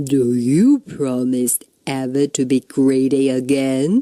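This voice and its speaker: A loud, booming put-on character voice, low-to-middle in pitch, at a fairly slow pace. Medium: read story.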